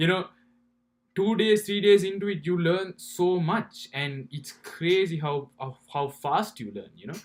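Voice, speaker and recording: With a Sri Lankan accent, a man speaks at a fairly slow pace in a high pitch, his pitch varying in an ordinary way while his loudness swings widely. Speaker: university student. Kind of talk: personal vlog. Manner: halting, many fillers and repetitions.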